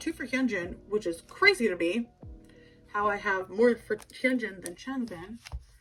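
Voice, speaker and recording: A woman's voice with music in the background. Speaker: kpop collector youtuber. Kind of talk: casual show-and-tell vlog.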